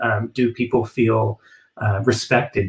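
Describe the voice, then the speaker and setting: A man with an American accent sounds somewhat breathy, his intonation fairly even. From United States. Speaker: ballet company executive director. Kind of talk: live panel discussion. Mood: thoughtful, measured. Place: home room. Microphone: webcam.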